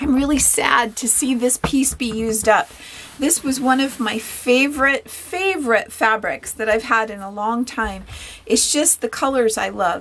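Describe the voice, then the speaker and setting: Here a woman speaks at a moderate pace. Her voice is high-pitched. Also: ordinary pitch variation. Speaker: sewing instructor. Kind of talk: tutorial. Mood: warm, chatty. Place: workshop.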